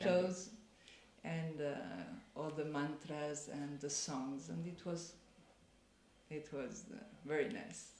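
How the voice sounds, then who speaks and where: Talking at a very slow pace with long, frequent pauses, a woman uses a very deep, low pitch, vocal fry and ordinary pitch variation. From Spain and Italy. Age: 60s. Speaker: mature master's student. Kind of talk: interview answer.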